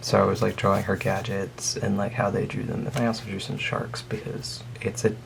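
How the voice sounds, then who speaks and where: Amid noticeable background noise, a man speaks at a moderate pace in a fairly low pitch with fairly even intonation. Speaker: artist vlogger. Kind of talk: casual sketchbook tour. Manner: hesitant, many fillers.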